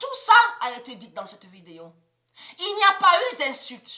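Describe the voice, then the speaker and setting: A raised, projected voice with a bright, sharp tone and very wide pitch swings moves at a fairly slow pace. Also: woman. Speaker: conspiracy video blogger. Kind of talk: religious monologue to camera. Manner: halting, repetitive.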